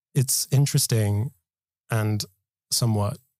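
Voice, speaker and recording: A man's somewhat breathy voice has a dark, mellow tone and a dry, close sound with no echo. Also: very clean recording, silent background. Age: late 20s. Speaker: storyteller. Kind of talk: personal testimony.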